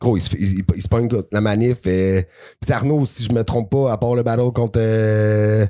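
A man with an unremarkable speaking voice talks at a fairly low pitch. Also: fairly even intonation, fairly slow pace. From western Quebec. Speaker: podcast co-host, battle rap commentator. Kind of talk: casual chat.

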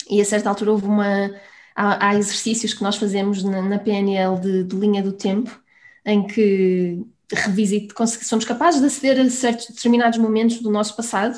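A somewhat breathy woman's voice of medium pitch at a moderate pace with fairly even intonation, on a very clean recording with a silent background. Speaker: business coach. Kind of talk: interview.

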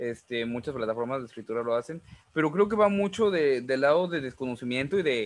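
Medium in pitch, a man talks at a fairly quick pace with lively intonation. He has a plain, everyday voice. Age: 20s. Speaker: podcast host and writer. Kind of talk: casual chat.

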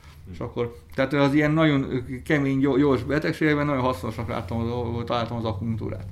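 Lively in intonation, a man with a medium pitch talks at a fairly quick pace with audible room echo. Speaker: traditional Chinese medicine practitioner. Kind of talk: interview. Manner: halting.

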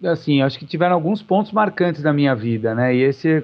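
This man has an unremarkable speaking voice that sits fairly high, and his pitch varies in an ordinary way. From Brazil, São Paulo. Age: 40s. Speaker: vegetarian society president. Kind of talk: podcast interview.

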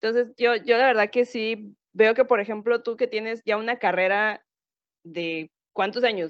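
With fairly even intonation, a woman talks in a fairly high pitch. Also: fairly slow pace. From southern Mexico. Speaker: podcast panelist. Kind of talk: casual chat.

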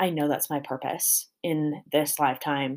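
A woman with a General American accent speaks at a very slow pace in a very clean recording with a silent background. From small-town Colorado. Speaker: podcast host, dancer and fitness coach. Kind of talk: solo podcast monologue. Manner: casual with frequent fillers.

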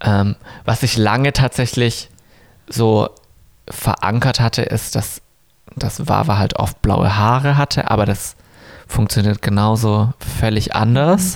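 A man talks at a very slow pace with long, frequent pauses, his loudness very even. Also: medium pitch for a man, ordinary pitch variation. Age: 30s. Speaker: drag queen. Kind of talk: casual chat.

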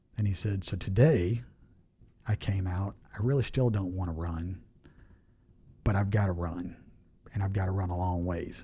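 A man's very deep, low voice with a dark, mellow tone, somewhat breathy, at a moderate pace with ordinary pitch variation. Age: 40s. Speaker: home builder and business owner. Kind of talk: casual interview.

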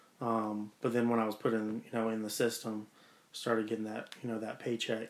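Delivered at a fairly quick pace, this is a plain, everyday voice with fairly even intonation. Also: man. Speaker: departing retail manager. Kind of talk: casual chat.

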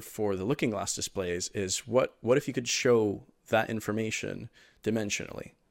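In a very clean recording with a silent background, a man speaks in a normal speaking voice at a moderate pace, with fairly low pitch and ordinary pitch variation. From Miami, Florida (born in Venezuela). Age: 20s. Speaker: holographic display community manager and 3D artist. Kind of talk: interview.

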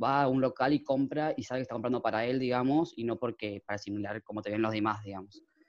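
Here a man uses an ordinary speaking voice, medium in pitch with ordinary pitch variation. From Argentina, Chaco. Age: 20s. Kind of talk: interview.

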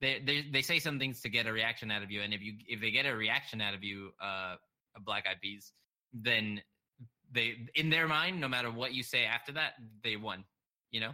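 This voice has a bright, sharp tone, ordinary pitch variation and a fairly quick pace. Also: man, medium pitch for a man. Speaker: podcast host. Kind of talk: casual chat. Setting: online recording, Discord. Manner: halting, many filler words.

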